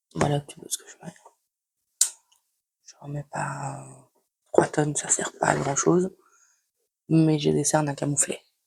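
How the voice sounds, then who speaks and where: A woman at a fairly slow pace, with long, frequent pauses and big swings in loudness. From Belgium, Liège. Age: 20s. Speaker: beauty vlogger. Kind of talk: casual makeup tutorial chat. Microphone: new microphone, first use.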